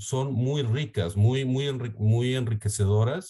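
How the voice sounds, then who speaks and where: A man speaks with a Mexican accent at a fairly slow pace, his medium-pitched voice showing ordinary pitch variation. His tone is dark and mellow, and somewhat breathy. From Mexico. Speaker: startup CEO. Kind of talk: interview. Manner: halting, with frequent repetitions.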